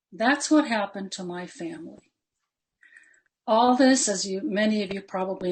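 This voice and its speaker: This woman has a medium pitch, lively intonation and a somewhat breathy quality. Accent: American. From Palestine and Jordan, then US. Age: 70s. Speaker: invited panelist. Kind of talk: personal testimony talk. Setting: webinar.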